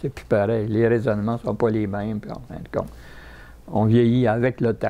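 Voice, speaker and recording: A man with a dark, mellow tone and medium pitch, fairly slow in pace, with a Quebec accent. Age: 90s. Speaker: war veteran. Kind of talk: interview. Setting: retirement home. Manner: halting.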